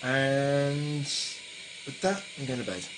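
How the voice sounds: A man talks at a slow pace and medium pitch. Clear background noise is present. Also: ordinary pitch variation.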